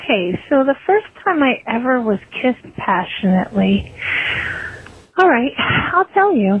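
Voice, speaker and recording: Noticeable background noise surrounds a woman whose pitch swings very widely. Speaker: listener leaving voicemail. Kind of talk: voicemail message. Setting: phone call.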